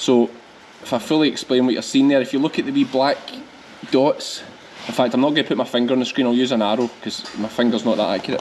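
With a strong Scottish accent and light background noise, a man at a medium pitch speaks at a very fast pace with fairly even intonation. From Scotland, Ayrshire; Scotland. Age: 30s. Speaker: sheep farmer and vlogger. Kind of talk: farm vlog tutorial. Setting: on the farm, scanning sheep. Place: farm machine.

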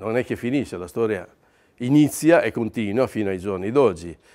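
On a very clean recording with a silent background, a man talks at a moderate pace with a medium pitch and lively intonation. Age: 60s. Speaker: paint distributor owner. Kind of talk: testimony.

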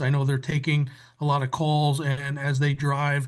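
A man with a fairly high pitch speaks at a moderate pace in a somewhat breathy, monotone, flat way. The background is quiet. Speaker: council member. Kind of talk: council meeting report. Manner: quiet, low-volume speaking.

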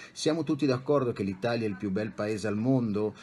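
Amid light background noise, a man talks at a very fast pace with a medium pitch and ordinary pitch variation. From Italy, Bologna; Italy. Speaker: psychologist and life coach; life coach. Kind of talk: interview. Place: home room. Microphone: webcam.

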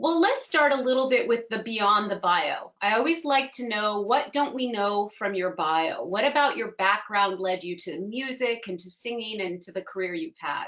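A woman speaks at a moderate pace with hardly any pauses, her pitch fairly high and her intonation lively. Loudness swings widely against a quiet background. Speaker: moderator and voice teacher. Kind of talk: moderated interview. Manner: warm and enthusiastic. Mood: warm, appreciative. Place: home room. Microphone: video call.

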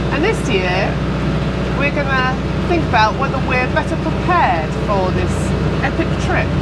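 A woman keeps to a moderate pace despite loud background noise. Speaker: vlogger. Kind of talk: casual vlog chat. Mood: cheerful, upbeat. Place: boat. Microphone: lapel.

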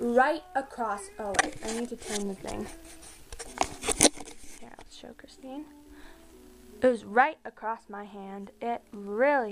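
Speech comes very slowly over music playing in the background. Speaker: vlogger. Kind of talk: casual vlog chat. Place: home room. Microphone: phone near.

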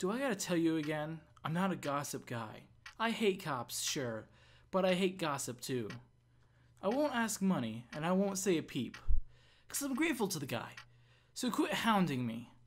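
A gruff, put-on character voice at a middle pitch, with very wide pitch swings, a moderate pace and long, frequent pauses. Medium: game stream. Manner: gruff, blunt.

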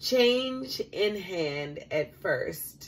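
Here a woman is talking. Her pitch swings very widely. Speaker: vlogger leading prayer. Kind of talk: fervent prayer. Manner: earnest, warm, pleading, repeating 'Father' with heartfelt emphasis; casual, chatty, animated. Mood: warm, emotional, heartfelt. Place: kitchen. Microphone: phone near.

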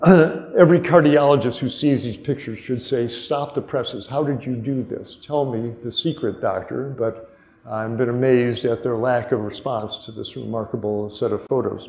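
A man at medium pitch with an American accent, moderate pace, hardly any pauses, and audible room echo. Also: ordinary pitch variation. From US Midwest, northern Wisconsin. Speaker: physician. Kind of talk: conference talk. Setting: stage with audience. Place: hall.

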